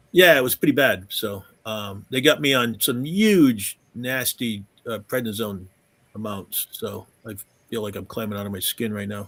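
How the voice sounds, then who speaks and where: In a very clean recording with a silent background, a man's loudness swings widely while his pitch varies in an ordinary way. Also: medium pitch for a man, moderate pace. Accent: southern New England. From southern New England. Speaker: gaming convention organizer. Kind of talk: casual chat.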